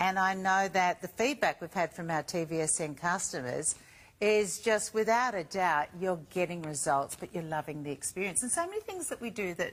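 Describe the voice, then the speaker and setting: The voice is an unremarkable speaking voice. Its pitch shifts in an ordinary way at a moderate speed. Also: woman, medium pitch for a woman. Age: 50s. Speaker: shopping channel presenter. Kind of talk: TV shopping presentation.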